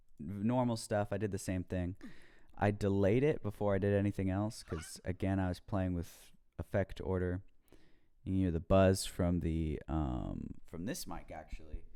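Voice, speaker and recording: Very deep and low, a man's voice carries a dark, mellow tone with ordinary pitch variation. He speaks at a moderate pace in a very clean recording with a silent background. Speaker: home musician explaining own mixing. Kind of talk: tutorial. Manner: casual, hesitant with fillers.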